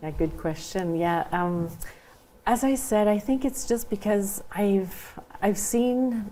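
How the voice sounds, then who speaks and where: A woman with a French accent speaks at a very slow pace, her voice dark and mellow at a medium pitch, with ordinary pitch variation and very even loudness. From Saint Boniface, Manitoba (Franco-Manitoban). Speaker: school trustee candidate. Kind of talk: interview. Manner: hesitant, many fillers.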